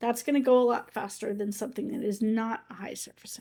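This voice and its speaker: A raspy, put-on character voice rushes along at a very fast pace with big swings in loudness. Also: woman, fairly high pitch for a woman. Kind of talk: lecturing, explanatory.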